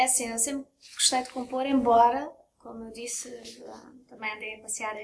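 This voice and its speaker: A high-pitched woman talks with fairly even intonation. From Belgium (Brussels), moved to Portugal at 10. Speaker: singer. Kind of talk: casual interview. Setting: restaurant.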